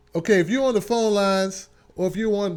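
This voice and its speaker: A man talks loudly at a very fast pace in an animated tone. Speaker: talk show host. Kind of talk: live call-in show chat.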